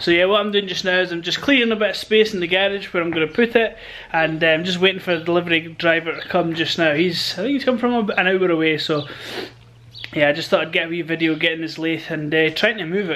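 Over light background noise, a man talks at a very fast pace in a high pitch with ordinary variation. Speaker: hobby mechanic vlogger. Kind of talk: casual vlog chat. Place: garage. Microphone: phone near.

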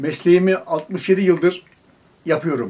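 A high-pitched man speaks at a fairly slow pace with fairly even intonation. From Turkey, Bilecik; Turkey. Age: 80s+. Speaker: potter. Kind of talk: interview. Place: workshop.

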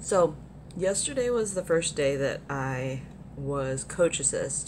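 Speaking in an American accent, a woman has a very deep, low voice. Her tone is animated, with ordinary pitch variation. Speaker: vlogger at a gaming convention. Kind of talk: casual vlog. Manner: animated, chatty.

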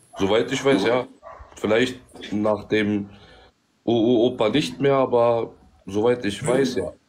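A man speaks at a fairly slow pace with long, frequent pauses. His intonation is fairly even and his loudness very even. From Bosnia. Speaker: livestream participant. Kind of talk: casual debate. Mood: calm, conciliatory. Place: home room. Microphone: phone near.

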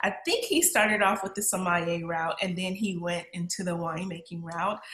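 Audible room echo surrounds a woman speaking at a fairly quick pace and medium pitch with monotone, flat intonation. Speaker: podcast host. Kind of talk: podcast interview questions. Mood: cheerful, smiling. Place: home room.

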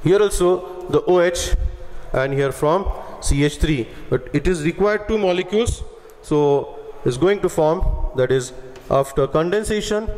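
Speaking at a fairly slow pace with long, frequent pauses, a man uses a high pitch, ordinary pitch variation and very even loudness. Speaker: chemistry teacher. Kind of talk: lecture. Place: classroom. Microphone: headset.

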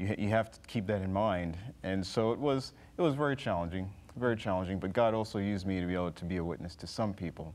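Speaking very fast, a man with a very deep, low pitch talks in an American accent. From Texas (Dallas); Texas. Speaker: flight instructor, former Navy pilot; flight instructor. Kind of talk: interview. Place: studio.

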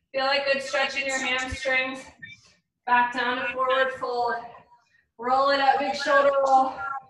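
High, monotone and flat speech from a woman, with long, frequent pauses, audible room echo and light background noise. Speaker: fitness instructor. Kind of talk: fitness class cool-down, calm guided stretching and breathing cues. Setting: live online video class. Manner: slow, soothing and steady, with measured pauses and sighs. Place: home room. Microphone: video call.

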